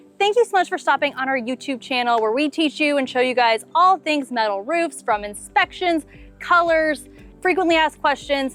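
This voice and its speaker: A woman's high, upbeat voice with lively intonation at a moderate pace, music in the background. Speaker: roofing company host. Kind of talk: customer interview host.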